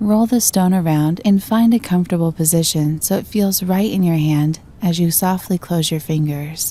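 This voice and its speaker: A woman with a normal speaking voice talks in a fairly low pitch with ordinary pitch variation, very even loudness, and hardly any pauses. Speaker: voice-over artist. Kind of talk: guided meditation. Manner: soft-spoken, slow, calm.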